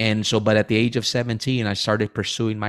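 Captured on a very clean recording with a silent background and a dry, close sound with no echo, a man with an American accent and an unremarkable speaking voice talks at medium pitch and a moderate pace. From Rio Grande Valley, South Texas. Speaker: pastor. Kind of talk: interview.

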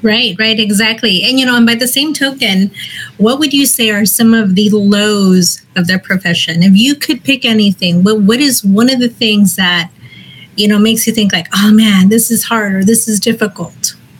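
Speaking at a moderate pace in a normal speaking voice, a woman keeps her loudness very even, with a fairly high pitch and ordinary pitch variation. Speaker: host, city code enforcement employee. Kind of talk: casual interview. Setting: live online video stream. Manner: upbeat, friendly.

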